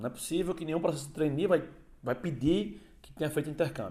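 A man speaks in a dark, mellow tone. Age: 30s. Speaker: podcast host. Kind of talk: casual monologue. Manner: casual.

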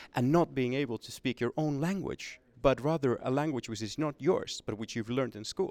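The speaker has a Swedish accent. The recording is very clean with a silent background, and the sound is dry and close with no echo. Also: man. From Finland (Swedish-speaking minority). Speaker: think tank manager, former journalist. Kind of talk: interview.

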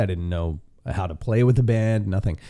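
In a very clean recording with a silent background, a man speaks at a fairly quick pace in a dark, mellow tone. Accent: western Canadian. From Canada, Vancouver area (B.C.). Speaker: country singer. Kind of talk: casual interview. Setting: private room in a steakhouse.

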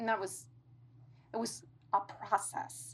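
A woman speaks with vocal fry. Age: 50s. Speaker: divorce client. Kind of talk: personal interview. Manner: halting.

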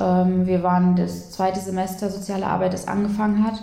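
Audible room echo surrounds a woman's voice. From Saxony-Anhalt, Germany (Eisleben). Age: 20s. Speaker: social worker. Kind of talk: casual interview. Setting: in person at host's home in Berlin.

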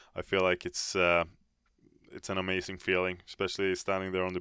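Recorded dry and close with no echo, a man with a Swedish accent talks at a fairly quick pace in a very deep, low pitch with a bright, sharp tone. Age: 30s. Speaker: professional hockey goaltender. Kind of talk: interview. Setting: studio.

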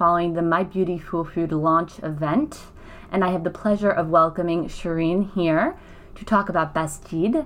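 A woman with an American accent at a moderate pace, a plain, everyday voice. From New York. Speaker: yoga and wellness podcast host. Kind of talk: interview. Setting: hotel after launch event.

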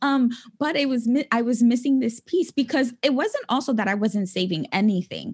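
A high-pitched woman with ordinary pitch variation, on a very clean recording with a silent background. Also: moderate pace. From New York City (the Bronx). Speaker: financial coach. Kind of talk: interview.

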